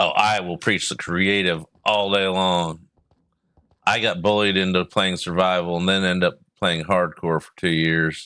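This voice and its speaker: This man has a very deep, low voice and an American accent, speaking at a fairly slow pace in a monotone, flat intonation. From US South. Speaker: game streamer. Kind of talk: live gameplay commentary. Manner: casual, rambling.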